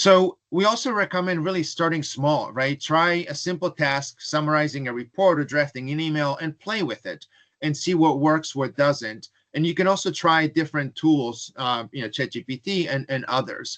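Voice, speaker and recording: A man with a non-native accent speaks in a fairly high pitch, his voice dry and close with no echo against a quiet background. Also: ordinary pitch variation, moderate pace, hardly any pauses. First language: not English. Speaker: webinar presenter. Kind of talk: webinar presentation. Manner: frequent fillers, um and uh.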